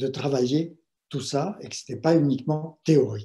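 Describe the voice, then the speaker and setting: A man's dark, mellow, somewhat breathy voice at a fairly slow pace. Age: 70s. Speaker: meditation teacher and writer. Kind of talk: talk on meditation. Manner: hesitant, with fillers.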